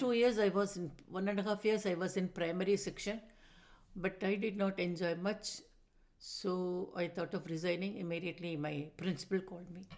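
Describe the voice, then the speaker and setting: Here a woman speaks at a moderate pace and a medium pitch, with fairly even intonation. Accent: Tamil Indian. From Madras, South India. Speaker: retired teacher, dancer and musician. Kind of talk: interview answer.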